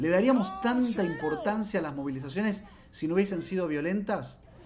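A man talks with lively intonation amid noticeable background noise and an audible room echo. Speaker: digital show host. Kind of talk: news commentary show. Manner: fast; loud.

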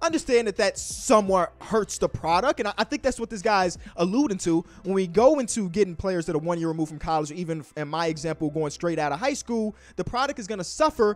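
Faint music plays behind a man who talks at a very fast pace with hardly any pauses. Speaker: basketball commentator. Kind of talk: commentary. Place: home room. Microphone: handheld.

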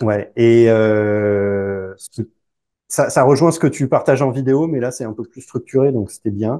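A man's medium-pitched voice with ordinary pitch variation, big swings in loudness, and a quiet background. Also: fairly slow pace. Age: 40s. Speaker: divorced father; interview guest. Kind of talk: casual interview. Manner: halting. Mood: relaxed, smiling. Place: home room. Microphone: lapel.

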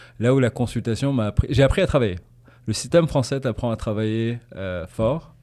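In a dark, mellow tone, a man talks at a fairly quick pace with ordinary pitch variation against a quiet background. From Tanzania, raised in Paris and English boarding school; Tanzania. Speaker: business manager for artists; podcast guest. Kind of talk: casual interview. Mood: relaxed, friendly. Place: studio. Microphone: studio mic.

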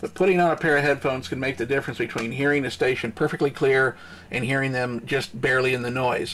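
A man at a fast pace, medium pitch, fairly bright tone and fairly even intonation.

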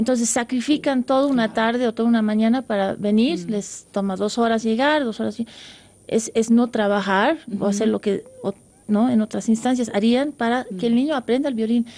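A woman speaks in a fairly high pitch with a dark, mellow tone. Her intonation stays fairly even. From grew up abroad (USA, Netherlands, Europe), Bolivian-Dutch parents. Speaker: concert pianist; guest. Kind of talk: radio interview. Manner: halting, many fillers. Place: studio.

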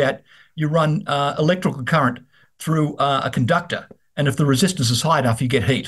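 Against a quiet background, a man talks at a very fast pace with a fairly high pitch and a somewhat breathy voice. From Australia. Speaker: investment research host. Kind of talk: business interview. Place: office. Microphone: video call.

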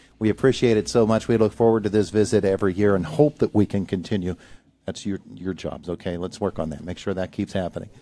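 A man's fairly low, dark and mellow voice at a very fast pace, with ordinary pitch variation and a dry sound with no echo. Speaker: morning radio show host. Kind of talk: radio interview. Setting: studio. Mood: warm, friendly. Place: studio.

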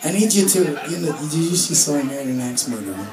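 Crowd noise can be heard in the background. A man is the one speaking. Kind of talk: stage banter with the audience. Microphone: pa.

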